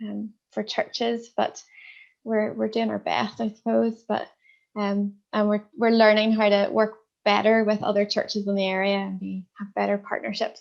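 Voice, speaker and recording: With a Northern Irish accent, a woman talks at a moderate pace over a quiet background. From Northern Ireland. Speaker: minister. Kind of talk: interview.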